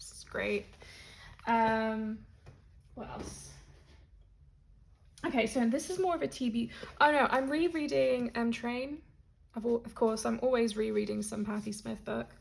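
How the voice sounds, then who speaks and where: Lively in intonation and fairly high in pitch, a woman speaks at a fairly slow pace with long, frequent pauses. Her voice is somewhat breathy and its loudness swings widely. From Spain and Britain. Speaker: tarot content creator. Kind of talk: casual vlog.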